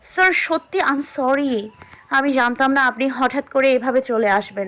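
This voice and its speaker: A woman puts on a character voice, high-pitched and shaky. She keeps a moderate pace. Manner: trembling, fearful.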